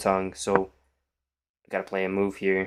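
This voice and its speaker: On a very clean recording with a silent background, a man speaks at a moderate pace and a fairly low pitch. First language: Polish. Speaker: chess streamer. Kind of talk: live stream commentary.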